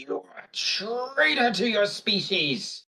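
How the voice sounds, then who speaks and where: A put-on character voice growls and hisses at a fairly high pitch and a fairly slow pace. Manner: hissing, snarling.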